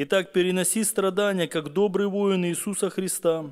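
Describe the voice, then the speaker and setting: Over a quiet background, a man with a high pitch speaks with fairly even intonation. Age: 40s. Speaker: pastor. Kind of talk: sermon. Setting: church. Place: church. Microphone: podium.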